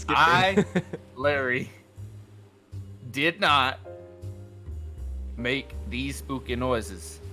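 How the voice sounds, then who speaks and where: Doing a put-on character voice, a man at medium pitch speaks in a raspy tone at a very slow pace with long, frequent pauses, with clear music in the background. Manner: defensive, rambling.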